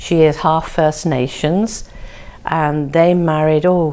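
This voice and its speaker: A woman with an English accent speaks at a very slow pace, her very deep, low pitch carrying a dark, mellow tone and fairly even intonation. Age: 70s. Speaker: family history narrator. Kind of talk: personal reminiscence. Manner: halting.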